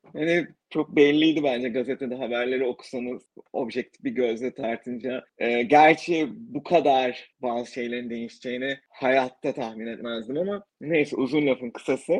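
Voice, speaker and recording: A plain, everyday voice at a moderate pace, with ordinary pitch variation and hardly any pauses. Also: man, medium pitch for a man. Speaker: podcaster interviewing emigrants. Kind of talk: casual interview chat.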